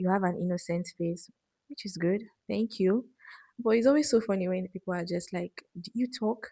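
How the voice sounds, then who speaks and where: In a dry, close sound with no echo, a woman with a medium pitch talks at a moderate pace, somewhat breathy, her pitch varying in an ordinary way. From Nigeria. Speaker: medical student vlogger. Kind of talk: casual Q&A chat. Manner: soft-spoken.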